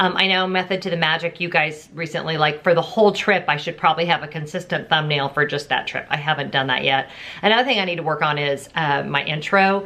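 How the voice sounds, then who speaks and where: Over noticeable background noise, a woman talks at a very fast pace with a very deep, low pitch, ordinary pitch variation and hardly any pauses. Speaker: YouTube vlogger. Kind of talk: casual vlog. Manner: loud.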